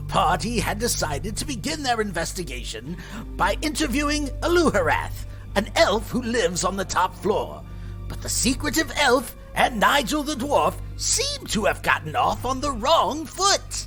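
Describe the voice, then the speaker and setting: Clear music in the background behind a put-on character voice, moderate in pace. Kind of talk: fantasy podcast host persona. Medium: actual play. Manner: hearty, theatrical.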